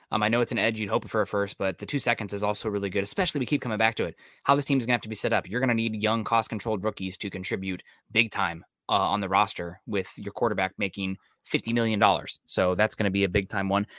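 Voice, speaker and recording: Dry and close with no echo, a man talks very fast at a fairly low pitch. His tone is bright and sharp, his intonation fairly even. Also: very clean recording, silent background. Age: 30s. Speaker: sports podcast host. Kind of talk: casual chat.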